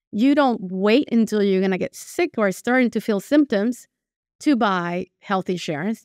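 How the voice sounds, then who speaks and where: A woman with a Spanish accent at fairly high pitch and moderate pace, recorded very cleanly, dry and close with no echo over a silent background. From Venezuela. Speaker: portfolio manager. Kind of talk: interview. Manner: conversational with hesitations.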